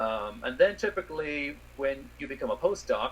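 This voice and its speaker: The background noise here is noticeable. Through it, a man can be heard talking. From Ireland. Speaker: space scientist. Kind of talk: interview.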